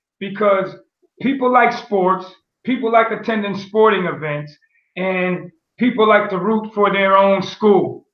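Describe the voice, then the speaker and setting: A man with an American accent speaks fairly slowly in a high voice with fairly even intonation. The background is quiet, though room echo is audible. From US Northeast (Pennsylvania/Connecticut). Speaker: teacher and coach. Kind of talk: interview. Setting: video call. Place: home room. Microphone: video call.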